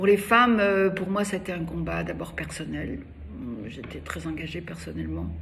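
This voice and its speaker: A fairly slow-paced woman amid noticeable background noise and audible room echo. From Algeria (Algiers). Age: 80s+. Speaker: feminist activist and cultural figure. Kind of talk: interview. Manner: halting, many hesitations.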